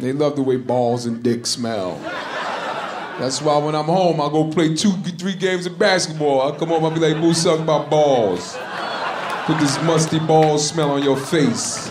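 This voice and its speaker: A man talks fairly slowly as noticeable background noise carries on behind him. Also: ordinary pitch variation. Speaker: stand-up comedian. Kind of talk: stand-up comedy routine. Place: stage. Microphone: handheld.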